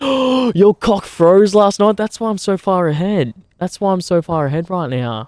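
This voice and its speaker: On a very clean recording with a silent background, a man with an Australian accent speaks high for a man, in an animated tone with very wide pitch swings. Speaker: streamer. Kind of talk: casual chat. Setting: outdoors by a campfire.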